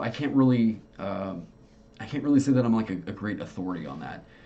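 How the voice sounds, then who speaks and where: A man with an American accent speaks with lively intonation over noticeable background noise. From Oklahoma. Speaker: tabletop game designer and streamer. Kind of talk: casual livestream chat. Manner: halting, many fillers.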